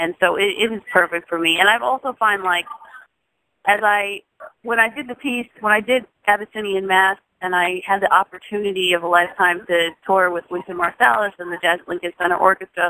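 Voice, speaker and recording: A woman's normal speaking voice at medium pitch with an American accent, fairly quick pace, ordinary pitch variation, big swings in loudness, and a dry, close sound with no echo. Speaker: jazz singer. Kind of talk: interview.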